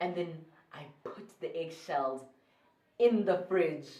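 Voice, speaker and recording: The tone is animated. The speaker has a South African accent. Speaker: YouTuber. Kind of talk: storytelling vlog.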